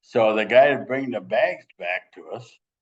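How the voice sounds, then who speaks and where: In an Upper Midwest accent, a man speaks at a moderate pace. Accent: Upper Midwest American. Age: 80s+. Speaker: former high school wrestler. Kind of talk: casual interview.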